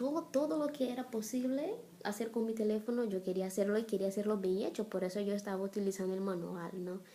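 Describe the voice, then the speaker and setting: A woman with a Brazilian accent speaks at a very fast pace in a medium pitch, her tone dark and mellow, with ordinary pitch variation. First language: Portuguese (speaking Spanish). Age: 30s. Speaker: missionary and blogger. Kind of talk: personal testimony vlog.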